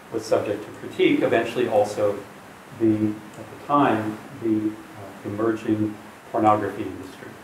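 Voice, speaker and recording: A man talks in a fairly low voice with an American accent. Light background noise and audible room echo surround him. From US. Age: 60s. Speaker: professor. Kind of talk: public talk. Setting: stage with audience. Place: meeting room. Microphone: camera far.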